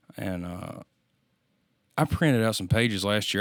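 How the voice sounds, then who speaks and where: In a Louisiana accent, a man talks at a moderate pace with a fairly low pitch and ordinary pitch variation. The recording is very clean, with a silent background. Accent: Louisiana Southern US. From US South. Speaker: musician. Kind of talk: casual chat.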